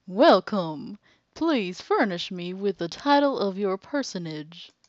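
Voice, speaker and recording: The speaker uses a put-on character voice at a middle pitch, moving at a fairly slow pace. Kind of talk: overly formal, archaic. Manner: pompous.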